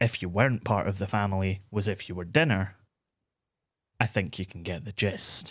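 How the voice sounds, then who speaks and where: Spoken with a Scottish accent at a moderate pace and ordinary pitch variation, the clip is a very clean recording with a silent background. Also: man. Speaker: podcast host and narrator. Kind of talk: history storytelling narration.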